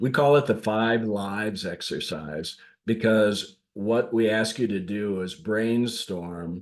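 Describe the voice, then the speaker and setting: Speaking very slowly in a fairly low pitch, a man with a northern US accent uses ordinary pitch variation. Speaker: leadership coach. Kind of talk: podcast monologue. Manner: casual, with fillers.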